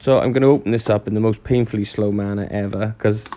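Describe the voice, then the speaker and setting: In a Welsh accent, a man with a fairly low pitch and fairly even intonation talks at a very fast pace. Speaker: model railway YouTuber. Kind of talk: unboxing review. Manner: casual, chatty.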